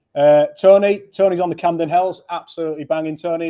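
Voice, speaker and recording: Here a man speaks in a high voice. His intonation is fairly even. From Yorkshire. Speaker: brand event host. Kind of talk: live stream chat. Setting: studio.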